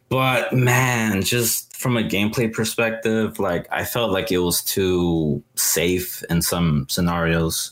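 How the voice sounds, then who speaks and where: With noticeable background noise behind him, a man speaks at a very slow pace and hardly pauses, his fairly low pitch showing ordinary variation and his loudness very even. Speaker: podcast co-host. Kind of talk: casual chat.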